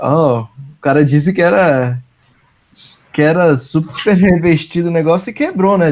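A man with a Brazilian accent, lively intonation and a fairly slow pace. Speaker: advertising professional. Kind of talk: casual podcast chat.

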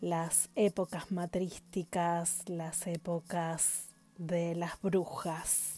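A woman's fairly low, dark and mellow voice, very slow and monotone in its flat intonation. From Argentina, Paraná, Entre Ríos. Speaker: tarot reader and herbalist. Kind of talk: informal presentation of a tarot deck.

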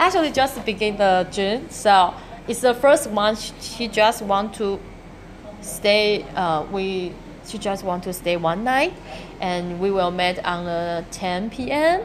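With a Chinese accent, a woman speaks at a medium pitch and a very slow pace. Noticeable background noise runs underneath. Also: ordinary pitch variation. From Taiwan. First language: Mandarin Chinese. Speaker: architect and coffee shop owner. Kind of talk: interview. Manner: halting.

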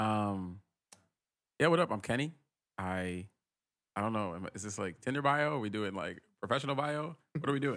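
Moderate pace marked by long, frequent pauses, lively intonation, and a very clean recording with a silent background. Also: man, fairly low pitch for a man. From Rhode Island, US. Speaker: tech worker, podcast guest. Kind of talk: casual chat.

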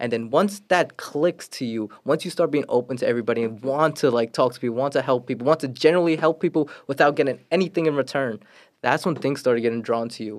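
With a New York accent, a man speaks at a very fast pace, his fairly high pitch showing ordinary variation. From Brooklyn, New York. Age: 20s. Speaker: real estate agent. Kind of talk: casual chat.

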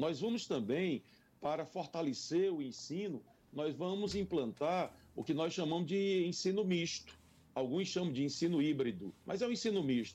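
High pitch for a man, with a dark, mellow tone and lively intonation. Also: moderate pace. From Brazil, Piauí (Parnaíba). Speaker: mayoral candidate, politician. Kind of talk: radio interview. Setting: radio studio.

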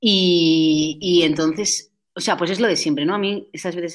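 Fairly even in intonation, a woman talks at a fairly low pitch in a normal speaking voice. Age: 20s. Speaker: social entrepreneur. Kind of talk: interview. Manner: fast, with many fillers.

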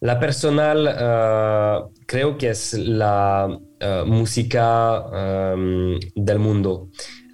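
A man with a French accent at a very slow pace and very even loudness, amid audible room echo. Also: fairly low pitch for a man, ordinary pitch variation, hardly any pauses. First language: French (speaking Spanish). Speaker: music streaming executive. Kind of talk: interview. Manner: halting.

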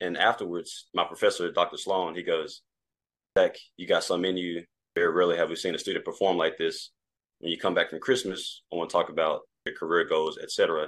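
Against a quiet background, a man with an American accent speaks at a fairly quick pace. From US South, Mississippi Delta. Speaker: private equity associate. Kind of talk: casual interview.

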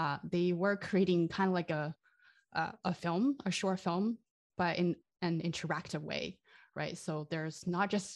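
Over a quiet background, someone with a Chinese accent speaks at a moderate pace with fairly even intonation. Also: woman. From China. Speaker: game sound designer. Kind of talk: interview. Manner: halting.

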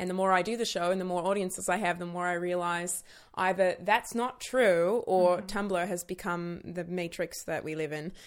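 A woman with an American accent speaks at a moderate pace with hardly any pauses, her fairly low pitch and fairly even intonation giving an ordinary speaking voice on a very clean recording with a silent background. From United States. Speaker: performer and comedian. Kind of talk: casual chat.

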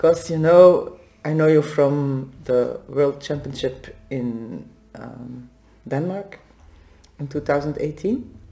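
In a Dutch accent, a woman speaks at a very slow pace with a very deep, low pitch. Her loudness swings widely. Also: ordinary pitch variation. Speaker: podcast host and massage therapist. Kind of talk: scripted outro; casual interview.

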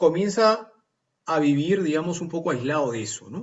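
With a plain, everyday voice, a man's fairly high pitch rises and falls in lively intonation at a moderate pace. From Lima, Peru. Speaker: novelist and engineer. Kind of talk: radio interview.

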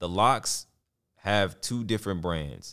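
On a very clean recording with a silent background, a man with a New York accent speaks in a very deep, low pitch with lively intonation. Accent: doesn't sound Texan, New York-ish. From Texas. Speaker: podcast host. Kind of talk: casual solo commentary on hip hop.

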